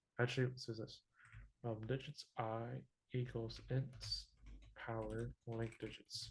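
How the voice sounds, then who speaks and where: Speaking at a fairly slow pace with long, frequent pauses, a man with a medium-pitched, somewhat breathy voice keeps a monotone, flat intonation. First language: not English. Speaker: teaching assistant. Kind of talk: tutorial. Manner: halting.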